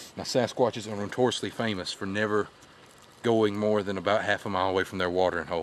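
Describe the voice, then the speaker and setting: A man at a fairly low pitch and very fast pace, with fairly even intonation, dry sound with no echo, and light background noise. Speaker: mock documentary host. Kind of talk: playful mock documentary narration. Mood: deadpan jokey. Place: forest. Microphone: phone near.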